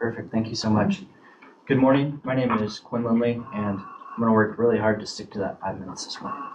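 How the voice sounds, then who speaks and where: A man with an American accent talks at medium pitch and a fairly quick pace. His intonation is fairly even, and background noise is noticeable. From Oregon, US. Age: 30s. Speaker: police officer. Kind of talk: formal statement at a hearing. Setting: public committee meeting. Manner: formal.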